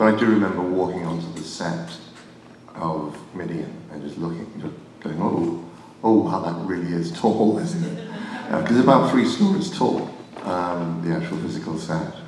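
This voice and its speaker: A man with a very deep, low pitch and an English accent speaks at a moderate pace, with ordinary pitch variation and long, frequent pauses. The recording has audible room echo and noticeable background noise. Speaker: film effects crew member. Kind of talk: panel Q&A.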